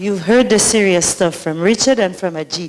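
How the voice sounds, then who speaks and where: A woman with a strong Saint Lucian accent speaks at a moderate pace. Her pitch is medium, with ordinary variation. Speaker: community organizer and emcee. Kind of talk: emcee remarks at public forum. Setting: library forum with audience. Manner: animated.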